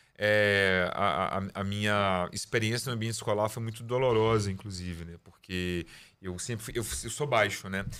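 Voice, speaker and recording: A man speaks at a fairly low pitch and a moderate pace. His intonation is fairly even, but his loudness swings widely. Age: 40s. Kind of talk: interview. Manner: halting, repeats words.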